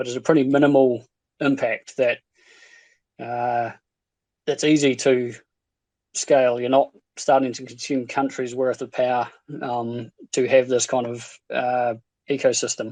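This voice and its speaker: A man with a New Zealand accent speaks at a fairly slow pace and a medium pitch, his intonation monotone and flat, with long, frequent pauses. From New Zealand, Invercargill, South Island. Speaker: stake pool operator. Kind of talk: casual chat. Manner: halting.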